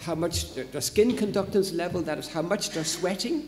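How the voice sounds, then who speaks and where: A man with an Irish accent speaks in a high pitch with lively intonation. Audible room echo and noticeable background noise fill the recording. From Ireland. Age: old. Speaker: psychology professor. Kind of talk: lecture. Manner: hesitant, with fillers.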